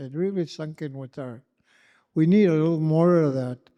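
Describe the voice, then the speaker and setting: Against a quiet background, a man with a fairly high pitch and a dark, mellow tone speaks at a fairly slow pace. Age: 80s+. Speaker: elder. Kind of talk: closing remarks at a community gathering. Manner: halting, many fillers.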